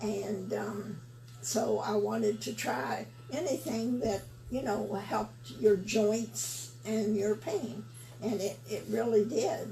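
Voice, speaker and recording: A woman talks very slowly, with music playing behind her. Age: 80s+. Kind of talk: interview answer, product testimonial. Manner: hesitant, halting.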